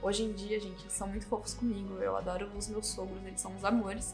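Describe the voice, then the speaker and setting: Over music in the background, a woman with a Brazilian accent talks at a very fast pace. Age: 20s. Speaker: YouTuber. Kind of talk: casual talk to camera.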